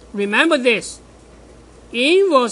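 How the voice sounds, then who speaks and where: Lively intonation marks this woman's speech, delivered with a non-native accent. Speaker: math professor. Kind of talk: lecture.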